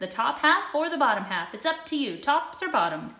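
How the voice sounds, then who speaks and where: A woman's put-on character voice, high in pitch with very wide swings, at a moderate pace. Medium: read story. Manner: glib, sly.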